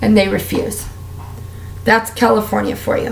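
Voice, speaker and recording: A woman talks amid audible room echo, with noticeable background noise as well. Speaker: beauty and lifestyle vlogger. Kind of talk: casual vlog monologue. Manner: animated.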